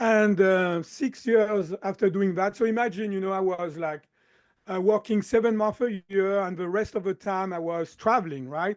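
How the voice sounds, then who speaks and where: A man with a slight French accent, high in pitch, at a moderate pace, in a dry, close sound with no echo. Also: quiet background. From southern France. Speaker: chiropractor and mind-body coach. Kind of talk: podcast interview.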